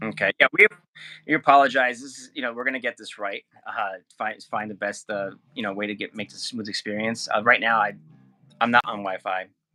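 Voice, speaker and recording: Music plays in the background as a man with a medium pitch talks fairly quickly, his loudness swinging widely. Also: fairly even intonation, dry, close sound with no echo. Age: 30s. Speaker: podcast co-host. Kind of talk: casual chat.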